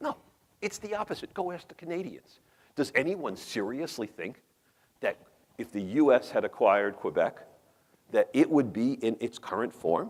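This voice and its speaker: The speaker has a New York accent and a moderate pace. Long, frequent pauses break up the speech. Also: man. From New York metropolitan area. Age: 50s. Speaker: professor and urban policy researcher. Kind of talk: conference talk. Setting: conference room, small audience. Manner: animated, conversational.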